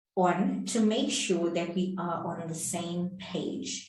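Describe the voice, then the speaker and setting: A woman speaks very slowly at a fairly low pitch, with audible room echo. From South Africa. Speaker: English teacher. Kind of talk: tutorial. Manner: clear and deliberate.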